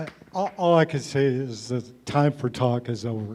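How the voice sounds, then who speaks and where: Noticeable background noise sits behind a man's voice. He speaks at medium pitch and a fairly slow pace with ordinary pitch variation. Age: 60s. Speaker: congressional candidate. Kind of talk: political debate.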